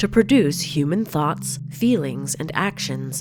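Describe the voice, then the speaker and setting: Through noticeable background noise comes a woman's very deep, low-pitched voice. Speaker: podcast host. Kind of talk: scripted narration.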